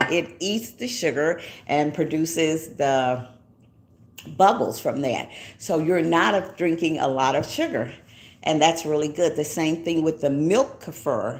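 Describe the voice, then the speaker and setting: In an American accent, a woman talks at a fairly slow pace. Her pitch is very deep and low. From Texas, Denton. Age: 70s. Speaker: YouTuber. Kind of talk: casual livestream talk. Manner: chatty, with many fillers.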